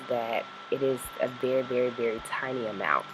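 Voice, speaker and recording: Noticeable background noise sits behind a woman whose very deep, low pitch stays monotone and flat as she talks at a fairly slow pace. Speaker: skincare vlogger. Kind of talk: casual talk to camera.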